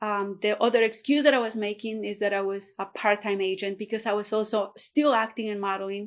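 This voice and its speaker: A woman with a Spanish accent speaks at a fairly quick pace with hardly any pauses. Her pitch is medium, her intonation fairly even, and the recording very clean with a silent background. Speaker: real estate agent. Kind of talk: motivational vlog talk.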